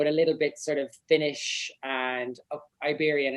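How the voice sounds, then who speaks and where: A man talks with an Irish accent. His pace is moderate. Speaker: singer-songwriter. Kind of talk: casual chat.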